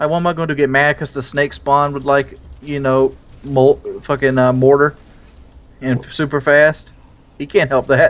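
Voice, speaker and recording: This man speaks with a fairly high pitch in a monotone, flat intonation. His pace is moderate, with long, frequent pauses. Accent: American. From US South. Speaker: gamer, video creator. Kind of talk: casual chat while gaming.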